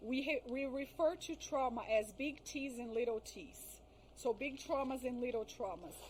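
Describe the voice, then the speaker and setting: A woman speaks at a moderate pace in a high voice with ordinary pitch variation, over noticeable background noise. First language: not English. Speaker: trauma therapist. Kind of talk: podcast interview. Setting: live video podcast.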